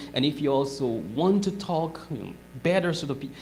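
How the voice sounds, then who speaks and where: This speaker talks with a non-native accent. The delivery moves at a moderate pace. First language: not English. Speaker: guest speaker. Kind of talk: talk to audience.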